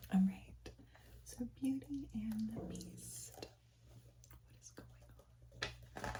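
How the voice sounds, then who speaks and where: Whispering and soft-spoken, the voice moves at a very slow pace. Long, frequent pauses come through over noticeable background noise. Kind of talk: casual talk to camera. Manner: soft-spoken, whispered.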